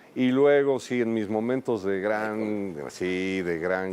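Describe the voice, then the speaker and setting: A man speaks with ordinary pitch variation. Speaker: writer. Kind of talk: casual interview chat.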